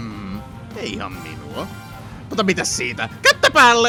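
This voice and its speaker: A cartoonish character voice plays over clear background music. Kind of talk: cartoon fan dub. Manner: playful, giddy.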